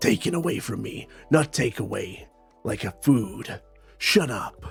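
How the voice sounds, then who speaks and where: A man at a medium pitch puts on a guttural character voice, speaking at a fairly slow pace with very wide pitch swings and big swings in loudness. Faint music sits in the background. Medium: tutorial demo.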